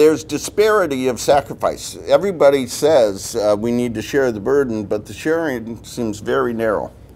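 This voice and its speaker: Lively intonation runs through a man's plain, everyday voice. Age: 60s. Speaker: church policy director. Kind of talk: guest lecture to a class. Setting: university classroom. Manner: conversational, with many filler uhs.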